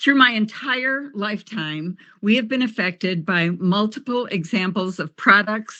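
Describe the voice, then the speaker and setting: A woman speaks at a fairly slow pace in a bright, sharp tone with ordinary pitch variation against a quiet background. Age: 70s. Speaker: public commenter, retired kindergarten teacher. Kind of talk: public hearing testimony.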